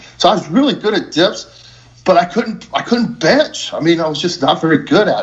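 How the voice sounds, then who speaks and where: This is a man speaking. His intonation is lively. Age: 60s. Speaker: strength coach and powerlifter. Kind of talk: interview. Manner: halting, many fillers and repetitions.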